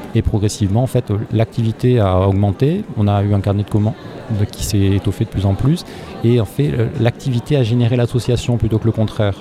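Over noticeable background noise, a man of medium pitch talks at a fairly quick pace with ordinary pitch variation. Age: 30s. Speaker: charity founder. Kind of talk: interview. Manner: halting.

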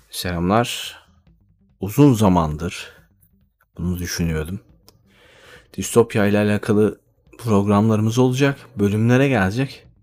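A man's fairly low voice with ordinary pitch variation, fairly slow with long, frequent pauses, over music in the background. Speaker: podcaster. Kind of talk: solo monologue.

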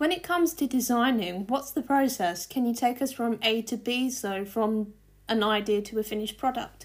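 This woman has a normal speaking voice with a fairly high pitch. She talks at a moderate pace with ordinary pitch variation. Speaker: podcast host and journalist. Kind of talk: podcast intro and interview.

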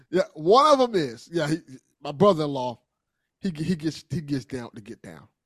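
An ordinary speaking voice from a man, fairly high in pitch, lively in intonation, at a moderate pace, with big swings in loudness and a dry, close sound with no echo. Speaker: podcast co-host. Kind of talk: casual banter.

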